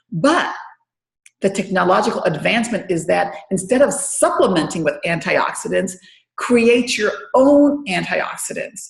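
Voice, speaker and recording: Her voice fairly high and somewhat breathy, a woman speaks at a fairly slow pace in an animated tone with very wide pitch swings. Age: 50s. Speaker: wellness product distributor. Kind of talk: webinar presentation. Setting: online webinar.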